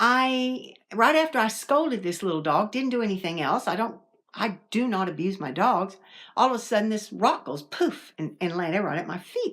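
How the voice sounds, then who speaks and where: This woman has an American accent and a fairly high pitch with very wide pitch swings. The recording is very clean, with a silent background. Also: moderate pace. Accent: Southern, sometimes strong. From US South. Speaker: paranormal vlogger. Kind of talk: casual storytelling. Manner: conversational, with fillers and restarts.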